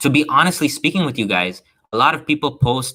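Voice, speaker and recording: A man talks at a fairly quick pace. His tone is animated, bright and sharp. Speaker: stock trading educator. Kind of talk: live stream trading seminar. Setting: live stream. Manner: fast.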